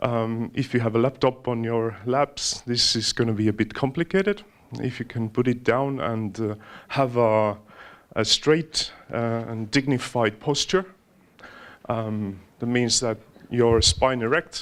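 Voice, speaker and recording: A man with an Estonian accent, medium pitch, ordinary pitch variation and a fairly slow pace, with long, frequent pauses, in a very clean recording over a silent background. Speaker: mindfulness trainer. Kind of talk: guided meditation; talk to an audience. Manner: halting.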